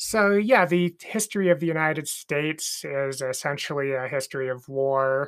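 The speech runs with hardly any pauses on a very clean recording with a silent background. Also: moderate pace. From rural Idaho. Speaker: podcast co-host, leftist activist. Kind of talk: casual chat.

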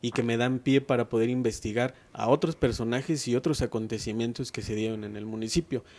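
Using a normal speaking voice, a man speaks at a moderate pace and medium pitch, his intonation fairly even. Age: 30s. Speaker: writer and local historian. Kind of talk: interview.

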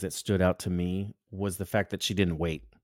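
In a normal speaking voice, a man with a fairly low pitch talks at a moderate pace in a very clean recording with a silent background and a dry, close sound with no echo. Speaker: photographer and co-host. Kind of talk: casual chat.

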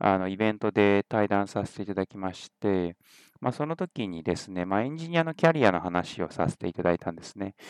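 With a normal speaking voice and a fairly low pitch, a man talks at a fairly quick pace with big swings in loudness, the sound dry and close with no echo and a quiet background. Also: lively intonation. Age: 30s. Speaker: podcast host and tech company CEO. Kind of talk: solo podcast monologue. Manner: casual with many fillers.

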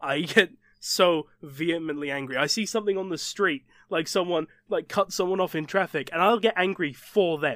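Against a silent background, this very clean recording has a dry, close sound without any echo. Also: man, high pitch for a man, ordinary pitch variation, moderate pace. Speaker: podcast host. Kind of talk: casual chat.

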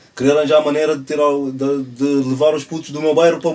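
This man talks fairly quickly. Noticeable noise runs behind him. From Cape Verde. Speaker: clothing brand founder, social project leader. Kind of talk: casual chat.

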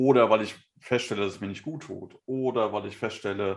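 Recorded very cleanly with a silent background, a man with an unremarkable speaking voice talks at a fairly quick pace, his pitch fairly low with ordinary variation. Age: 40s. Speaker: podcast co-host, photographer and designer. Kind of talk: casual chat.

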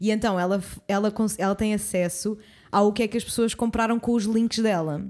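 A woman talks in a plain, everyday voice at a fairly high pitch and a fairly quick pace. Her intonation is fairly even, her loudness very even, and the recording very clean with a silent background. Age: 20s. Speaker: podcast co-host. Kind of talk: casual chat. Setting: studio.

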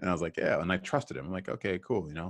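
The voice carries an American accent with vocal fry. The background is quiet. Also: man. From Boston. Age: 40s. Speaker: sales recruiting firm founder and podcast host. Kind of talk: casual interview conversation.

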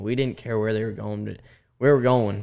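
A man with an American accent, an ordinary speaking voice, medium pitch and fairly even intonation. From Colorado. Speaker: professional bull rider. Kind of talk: interview. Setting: studio.

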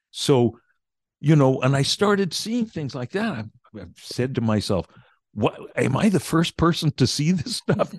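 Speaking fairly slowly and somewhat breathily, a man makes very wide pitch swings and big swings in loudness in a dry, close sound with no echo. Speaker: meditation teacher and author. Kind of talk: casual interview.

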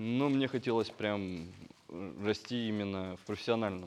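A man talks at a fairly slow pace. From Russia, Yekaterinburg (Urals). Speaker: technical artist. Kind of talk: casual interview. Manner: halting, many fillers.

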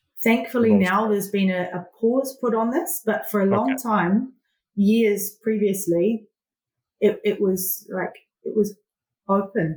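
Speaking at a fairly slow pace, a woman with a New Zealand accent sounds somewhat breathy, her medium pitch moving with ordinary variation. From New Zealand (Southland/Catlins area). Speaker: agribusiness project manager. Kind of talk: interview. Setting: remote call.

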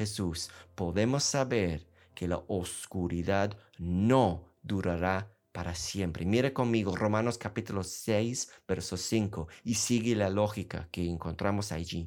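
Recorded very cleanly against a silent background, a man speaks very slowly at a fairly low pitch with ordinary pitch variation. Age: 50s. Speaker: missionary preacher. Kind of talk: sermon.

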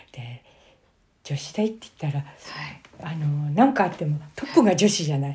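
A woman's very deep, low voice has a dark, mellow tone, is somewhat breathy, and carries lively intonation with big swings in loudness. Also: moderate pace. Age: 70s. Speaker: elderly interviewee telling life story. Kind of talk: interview, life-story recounting.

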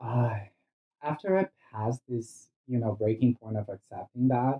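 The man talks with a Brazilian accent. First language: Portuguese. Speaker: cannabis industry worker. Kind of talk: casual chat. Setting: sitting on host's bed at home. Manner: loud.

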